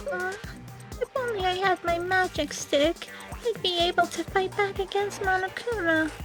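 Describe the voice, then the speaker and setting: In a put-on character voice with an extremely high pitch, a woman speaks at a moderate pace over clear background music. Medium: game stream.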